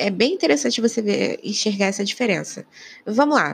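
A woman with a normal speaking voice talks at a moderate pace in a dry, close sound with no echo. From Rio de Janeiro, Brazil. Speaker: podcaster and YouTuber. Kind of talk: solo political commentary. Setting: living room at home. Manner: casual, chatty.

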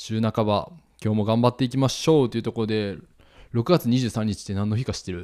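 On a very clean recording with a silent background, a man with a Kansai accent speaks at a very fast pace, his dark, mellow tone at medium pitch with ordinary pitch variation. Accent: Kansai dialect intonation. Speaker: podcast host, couple content creator. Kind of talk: casual chat.

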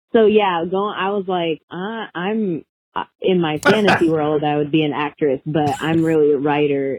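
A woman speaks in a plain, everyday voice with an American accent. Her pitch is fairly low, with ordinary pitch variation. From Orlando, Florida. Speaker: spoken word artist and children's author. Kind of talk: interview, personal testimony.

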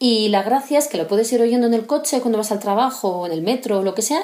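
A woman with lively intonation is heard against noticeable background noise. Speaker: civil servant. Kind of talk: recorded monologue.

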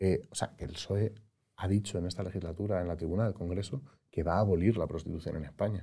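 A man's very deep, low voice, somewhat breathy, with a dark, mellow tone, fairly even intonation and a very fast pace. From Spain, Madrid. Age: 30s. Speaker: former politician. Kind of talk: interview.

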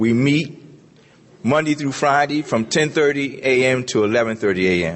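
With an American accent, a man speaks very slowly at a medium pitch, with ordinary pitch variation and very even loudness. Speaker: recovering alcoholic speaker. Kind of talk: testimony.

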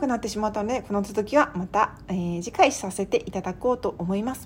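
A woman talks at a fairly quick pace. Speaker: podcast host and writer. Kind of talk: solo podcast monologue. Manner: casual with polite phrasing.

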